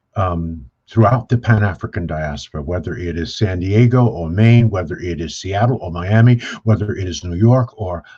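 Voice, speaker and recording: With a dark, mellow tone, a man speaks at a fairly low pitch in a somewhat breathy way. His pace is moderate and his pitch varies an ordinary amount. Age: 70s. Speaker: business speaker on wealth creation. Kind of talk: panel discussion. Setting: video call. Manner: animated.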